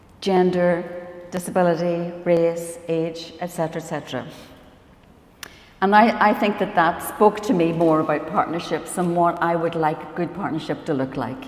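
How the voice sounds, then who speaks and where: In a room with audible echo and noticeable background noise, a woman talks at a moderate pace with a fairly low pitch and ordinary pitch variation. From Northern Ireland. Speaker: professor and biomedical scientist. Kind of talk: conference panel talk. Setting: conference stage with audience.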